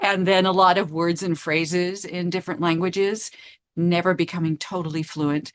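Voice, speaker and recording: A woman talks at a moderate pace against a quiet background. Her fairly low voice stays monotone and flat. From Asia, international childhood. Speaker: writer and performer. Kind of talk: interview.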